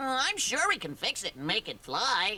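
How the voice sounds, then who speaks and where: A cartoonish character voice, female-sounding and fairly high in pitch, with very wide pitch swings at a moderate pace. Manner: excited, eager.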